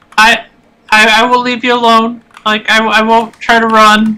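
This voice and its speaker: A woman's put-on character voice, fairly high in pitch with monotone, flat intonation. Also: moderate pace. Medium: actual play. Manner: nervous, stammering.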